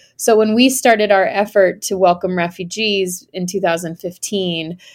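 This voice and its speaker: Recorded very cleanly over a silent background, a woman has an unremarkable speaking voice, a medium pitch and ordinary pitch variation. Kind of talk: interview.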